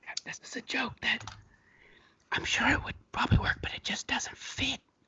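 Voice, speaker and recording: A man whispering at a moderate pace. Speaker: comedian, co-host of an ASMR comedy show. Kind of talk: casual comedy banter with ASMR-style soft delivery.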